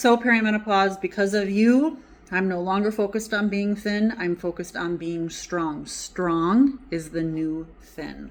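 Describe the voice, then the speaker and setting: A woman with a plain, everyday voice of medium pitch talks at a fairly slow pace with ordinary pitch variation and hardly any pauses. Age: 40s. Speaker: health coach and holistic nutritionist. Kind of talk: casual talk to camera.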